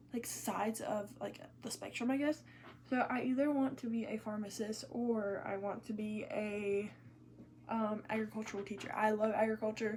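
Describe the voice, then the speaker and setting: Over noticeable background noise, a woman with an American accent speaks at a moderate pace in a fairly high voice, her intonation fairly even. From US South, South Georgia. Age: 18. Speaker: beauty vlogger. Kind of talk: casual chat while doing makeup. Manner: chatty, informal.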